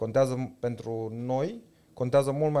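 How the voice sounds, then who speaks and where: The voice has a dark, mellow tone. It moves at a moderate pace with fairly even intonation. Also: man. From Romania, Târgoviște. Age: 30s. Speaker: startup CEO. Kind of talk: interview. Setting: office.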